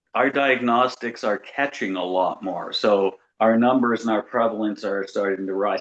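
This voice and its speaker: A man has a plain, everyday voice at a medium pitch. He speaks at a moderate pace with fairly even intonation and hardly any pauses. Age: 60s. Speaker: FASD advocate. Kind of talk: casual chat.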